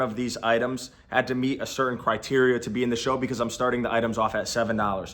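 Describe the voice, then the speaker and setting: At a very fast pace, a man speaks in an energetic tone at a medium pitch. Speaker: online reseller and YouTuber. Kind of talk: explainer video to camera. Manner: loud.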